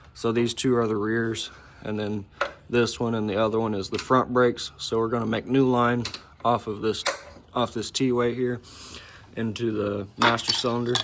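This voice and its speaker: Amid noticeable background noise, a man speaks with long, frequent pauses. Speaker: car enthusiast video maker. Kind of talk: casual vlog walkthrough. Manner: fast; casual, filler-heavy.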